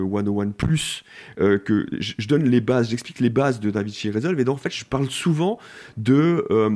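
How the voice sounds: Here a man speaks at a moderate pace and medium pitch. His tone is dark and mellow, with ordinary pitch variation.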